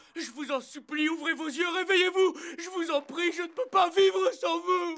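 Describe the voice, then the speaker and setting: A man does a whiny put-on character voice at an extremely high pitch. He keeps a moderate pace. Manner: whining, pleading.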